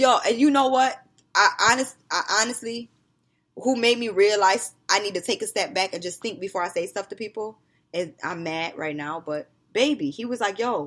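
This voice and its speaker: With an American accent, a woman speaks at a moderate pace in a fairly high, animated voice with lively intonation. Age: 30s. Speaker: podcast host. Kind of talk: casual chat.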